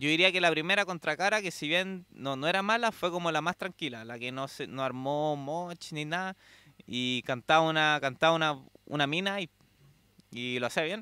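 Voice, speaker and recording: A man in a Chilean accent speaks at a fairly high pitch with a bright, sharp tone and ordinary pitch variation. The sound is dry with no echo, and the background is quiet. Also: moderate pace. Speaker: metal fan recounting concert trip. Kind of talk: casual interview. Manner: halting, frequent repetitions. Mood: relaxed, enthusiastic storytelling. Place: home room. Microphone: handheld.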